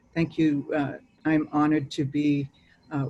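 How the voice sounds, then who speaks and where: A woman in a Boston accent, very deep and low in pitch, at a very slow pace. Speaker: native community organizer. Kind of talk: panel talk.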